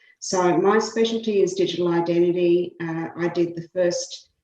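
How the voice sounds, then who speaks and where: A woman with an Australian accent talks at a moderate pace in a fairly low pitch with fairly even intonation. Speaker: law professor. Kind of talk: committee testimony.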